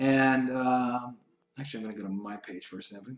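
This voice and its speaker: This man speaks at a fairly quick pace in a medium pitch. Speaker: online marketing trainer. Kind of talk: webinar screen-share tutorial. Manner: fast; animated.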